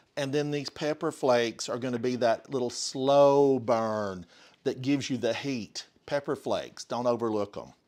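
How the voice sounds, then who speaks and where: A man with an Appalachian accent speaks at a medium pitch with ordinary pitch variation. The recording is very clean, with a silent background. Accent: Smoky Mountain (Appalachian). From US South, Smoky Mountains of Western North Carolina. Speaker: home cooking streamer. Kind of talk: live cooking stream. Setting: home kitchen, live stream. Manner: casual, chatty with fillers.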